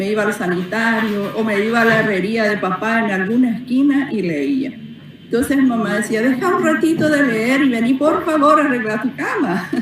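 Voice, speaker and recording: With noticeable background noise and audible room echo, a woman talks at a moderate pace in a fairly high pitch with lively intonation. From Paraguay, Carmen del Paraná. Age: 60s. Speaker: author. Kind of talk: interview. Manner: halting, many fillers.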